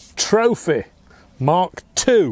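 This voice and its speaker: Dry and free of echo, the recording captures a man talking. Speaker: air rifle reviewer. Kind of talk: product review tutorial. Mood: relaxed, upbeat. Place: garden.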